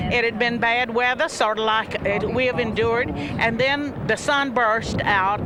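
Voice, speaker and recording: With music in the background and audible room echo, a woman speaks at a fairly slow pace. Her pitch is fairly high, with ordinary variation. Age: 70s. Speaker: political commentator. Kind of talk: live broadcast commentary.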